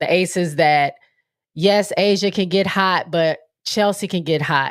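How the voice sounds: Speaking at a fairly slow pace, a woman has a nasal, fairly low voice with ordinary pitch variation.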